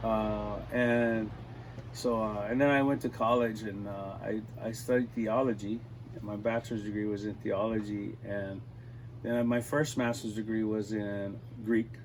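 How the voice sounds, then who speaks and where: Speaking rather slowly, a man delivers his words. His tone stays flat and monotone throughout. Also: medium pitch for a man. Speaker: musician. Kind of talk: interview. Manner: relaxed, many filler words.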